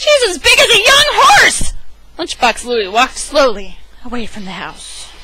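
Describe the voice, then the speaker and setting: Noticeable background noise sits under speech at a fairly slow pace. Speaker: amateur storyteller. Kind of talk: dramatic reading of a children's book. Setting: home recording, gamer headset. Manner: enthusiastic, casual.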